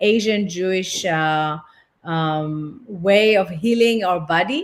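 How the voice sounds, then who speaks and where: At a very slow pace, a woman talks with a medium pitch and ordinary pitch variation. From France. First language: French. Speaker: relationship and intimacy therapist. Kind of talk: interview. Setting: online platform.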